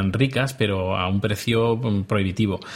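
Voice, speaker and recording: Somewhat breathy, the speech unfolds fairly slowly. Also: man. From Spain. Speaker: podcaster. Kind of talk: casual chat. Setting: video call.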